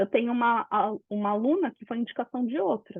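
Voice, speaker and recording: Speaking with a fairly high pitch, a woman uses ordinary pitch variation. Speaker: business mentor. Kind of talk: live webinar talk. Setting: online live session. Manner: animated.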